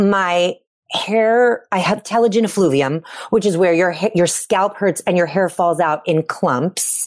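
Recorded very cleanly against a silent background, a woman speaks in a normal speaking voice at medium pitch and a fairly slow pace, with very even loudness and ordinary pitch variation. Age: 40s. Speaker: podcast co-host. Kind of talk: casual chat.

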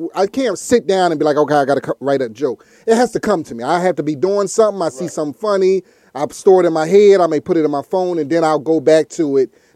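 A man talks at a very fast pace with lively intonation, a fairly high pitch and a dark, mellow tone, in a dry, close sound with no echo. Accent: American. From Philadelphia. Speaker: stand-up comedian.

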